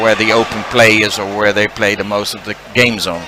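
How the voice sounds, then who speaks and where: Fairly low male voice at a moderate pace, monotone and flat, over noticeable background noise. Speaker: bowling commentator. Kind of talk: live commentary. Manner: halting.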